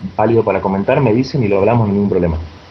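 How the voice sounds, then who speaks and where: A man races through his words very fast, with noticeable noise in the background. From Argentina. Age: 20s. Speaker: magic website founder. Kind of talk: interview.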